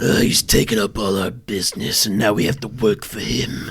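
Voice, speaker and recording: A man puts on a raspy character voice at a fairly low pitch. He speaks at a moderate pace, with ordinary pitch variation. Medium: comedy sketch.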